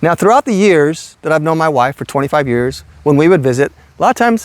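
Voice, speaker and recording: Fairly quick, lively speech from a man with a fairly high pitch, recorded dry and close with no echo. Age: 60s. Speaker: retiree vlogger. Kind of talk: casual vlog storytelling. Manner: animated.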